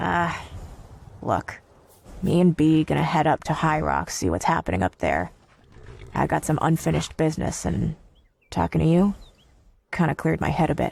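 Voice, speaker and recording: A man speaks in a put-on character voice, raspy and fairly high-pitched, at a moderate pace broken by long, frequent pauses. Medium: machinima. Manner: casual, informal.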